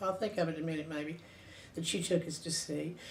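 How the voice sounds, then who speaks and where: A voice with a Southern US accent and audible room echo. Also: woman. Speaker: interviewee recounting family history. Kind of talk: oral history reminiscence. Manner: halting, with fillers and self-corrections.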